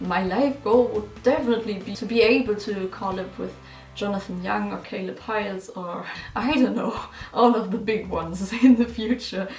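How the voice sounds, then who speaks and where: In a German accent, the speaker keeps a moderate pace with ordinary pitch variation and big swings in loudness, amid audible room echo and noticeable background noise. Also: woman, medium pitch for a woman. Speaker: musician and YouTuber. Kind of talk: casual chat.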